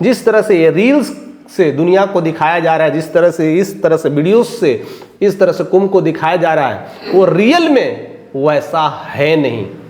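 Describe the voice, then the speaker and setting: A man speaks in a high voice with an animated tone. His intonation is lively, and there is noticeable background noise. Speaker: news commentator. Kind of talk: opinion commentary.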